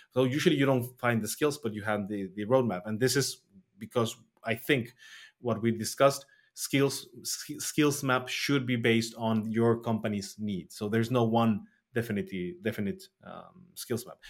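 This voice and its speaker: In a very clean recording with a silent background, a man with a Spanish accent talks at a moderate pace with ordinary pitch variation. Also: medium pitch for a man, big swings in loudness. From Mexico. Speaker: front-end developer, podcast host. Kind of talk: casual chat. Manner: halting.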